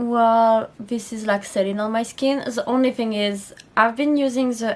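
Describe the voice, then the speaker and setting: The speaker has a French accent and talks at a very slow pace. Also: woman. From France. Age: 20s. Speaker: beauty youtuber. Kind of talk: makeup tutorial. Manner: casual, chatty.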